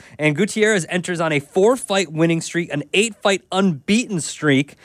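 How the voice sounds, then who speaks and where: On a very clean recording with a silent background, a man speaks at a moderate pace with ordinary pitch variation in a plain, everyday voice. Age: 30s. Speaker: sports betting podcast host. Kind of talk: casual chat.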